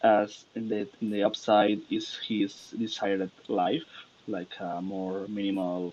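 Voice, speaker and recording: A man's fairly low voice with a non-native accent, at a very slow pace and with fairly even intonation. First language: not English. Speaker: artist. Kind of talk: artist presentation. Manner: halting.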